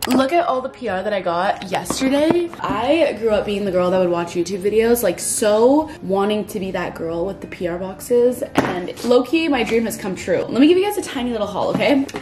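At a moderate pace and with hardly any pauses, this woman talks against noticeable background noise. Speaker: lifestyle vlogger. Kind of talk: casual vlog chat. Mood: excited, upbeat. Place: home room. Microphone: phone near.

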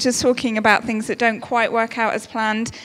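A woman talks in a high voice against a quiet background. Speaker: speaker. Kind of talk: sermon. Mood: warm, lightly humorous. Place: church. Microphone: handheld.

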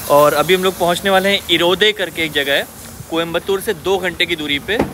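Speaking at a fairly quick pace, a man uses a high pitch, a bright, sharp tone and ordinary pitch variation against faint background noise.

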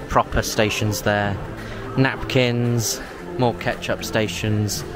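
A man's voice in a dry sound with no echo, with clear music in the background. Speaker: theme park vlogger. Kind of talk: casual vlog chat. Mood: enthusiastic, impressed. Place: hall. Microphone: phone near.

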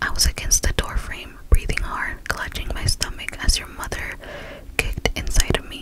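Loud background noise sits behind the recording. A woman speaks at a fairly slow pace. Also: dry sound with no echo. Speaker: storyteller. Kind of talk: story narration reading. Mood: eerie, suspenseful. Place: home room. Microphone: studio mic.

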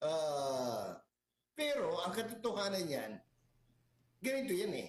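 A man with a high pitch and very wide pitch swings, at a fairly slow pace, with audible room echo. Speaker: political commentator. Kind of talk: casual chat.

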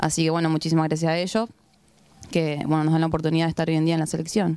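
Against a quiet background, a woman speaks at a fairly low pitch in a dry sound with no echo. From Rosario, Argentina; Argentina. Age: 20s. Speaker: women's football goalkeeper. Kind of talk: post-match interview. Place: open country. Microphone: handheld.

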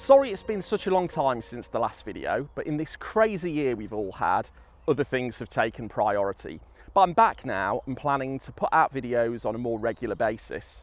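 The speaker moves at a moderate pace, with very wide pitch swings and big swings in loudness. Music plays in the background, and the sound is dry with no echo. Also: man. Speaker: presenter. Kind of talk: tutorial. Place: open country.

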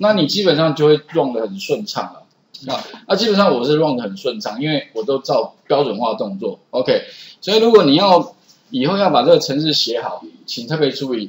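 A man with a Taiwanese accent speaks at a fairly quick pace, his pitch fairly high. His voice has vocal fry and very wide pitch swings. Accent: Taiwanese Mandarin. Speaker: programming instructor. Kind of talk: classroom lecture. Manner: frequent filler particles.

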